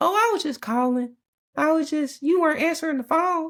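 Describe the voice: A high, squeaky put-on character voice at a fairly quick pace.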